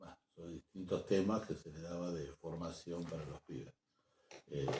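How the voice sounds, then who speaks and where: This man's very deep, low voice has a dark, mellow tone, fairly even intonation and big swings in loudness, moving at a moderate pace. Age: 60s. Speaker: programmer and social activist. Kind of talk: interview. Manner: halting.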